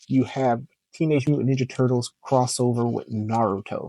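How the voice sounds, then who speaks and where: Medium pitch from a man, fairly even intonation at a moderate pace, in a dry, close sound with no echo. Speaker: comic book YouTuber. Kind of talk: casual vlog review. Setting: home recording at computer. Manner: monotone; quiet, not loud.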